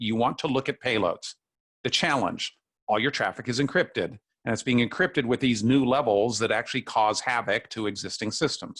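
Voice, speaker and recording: A man's voice at medium pitch, in a dry, close recording with no echo. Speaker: technical presenter. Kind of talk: technical webinar presentation. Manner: fast; halting, many fillers and restarts.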